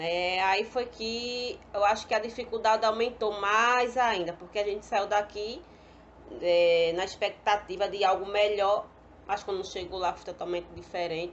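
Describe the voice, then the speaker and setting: Her pace is fairly slow. The woman's pitch sits at a medium level, with ordinary pitch variation. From Pernambuco, northeast Brazil. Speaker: pedagogy student. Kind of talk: personal testimony.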